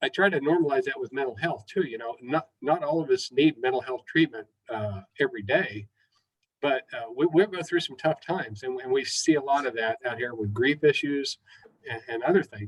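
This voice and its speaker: A man with a fairly high pitch speaks at a moderate pace with lively intonation, the sound dry and close with no echo. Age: 60s. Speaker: mental health counselor. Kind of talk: webinar talk. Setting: online webinar. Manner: halting, many fillers.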